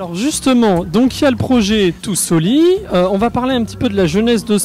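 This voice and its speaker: Noticeable background noise is present throughout. The talking holds a moderate pace. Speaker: interviewer. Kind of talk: interview questions.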